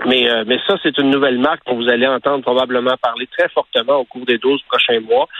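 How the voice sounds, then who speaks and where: A man with a Quebec accent speaks in a monotone, flat intonation with hardly any pauses. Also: medium pitch for a man. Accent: Québécois French. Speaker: car columnist. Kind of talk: radio column interview. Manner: hesitant, many fillers.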